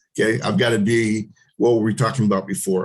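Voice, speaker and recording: An American accent with vocal fry. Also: man. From US Pacific Northwest, Seattle Central area. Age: 60s. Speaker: panelist, school alumnus. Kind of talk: panel discussion. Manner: halting, many fillers.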